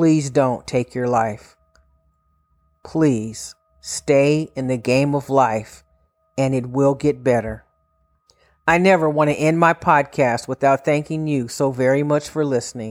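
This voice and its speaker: A woman speaks at a very slow pace with long, frequent pauses, her very deep, low voice showing ordinary pitch variation on a very clean recording with a silent background. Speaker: mental health podcast host. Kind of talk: solo motivational pep talk to listeners in crisis, urging them to keep living. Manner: earnest, pleading warmth, speaking directly to you; reassuring and repetitive, with slogan-like encouragements.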